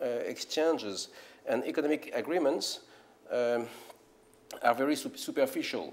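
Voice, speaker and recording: Over noticeable background noise, a man in a French accent speaks at a moderate pace. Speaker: philosopher and scholar. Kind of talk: lecture. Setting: conference stage with audience. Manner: halting, many fillers and repetitions.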